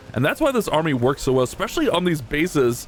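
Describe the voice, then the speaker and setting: With music in the background, the speaker sounds animated, using lively intonation at a very fast pace. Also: man. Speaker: gaming youtuber. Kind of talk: live gameplay commentary.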